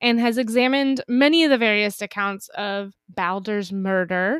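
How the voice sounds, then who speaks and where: In an ordinary speaking voice, a woman with a fairly high pitch speaks at a moderate pace with ordinary pitch variation, the sound dry and close with no echo. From Northern California, Napa. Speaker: podcast co-host. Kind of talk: casual chat. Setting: recording remotely, apart from co-host.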